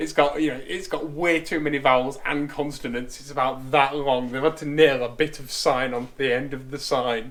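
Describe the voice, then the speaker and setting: A man with a northern English accent, his pitch fairly high, at a moderate pace. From northern England. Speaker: car restoration youtuber. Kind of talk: workshop tutorial with casual chat. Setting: workshop.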